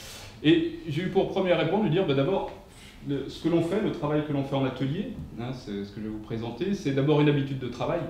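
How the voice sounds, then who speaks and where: A man's very fast, fairly high-pitched talk with lively intonation, big swings in loudness, noticeable background noise, and audible room echo. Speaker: professor. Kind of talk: lecture. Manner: hesitant, many fillers.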